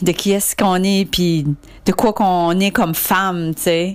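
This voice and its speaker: Speaking at a fairly slow pace, a woman with an unremarkable speaking voice keeps her intonation fairly even. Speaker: listener. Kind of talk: recorded voice message. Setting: recorded clip sent in.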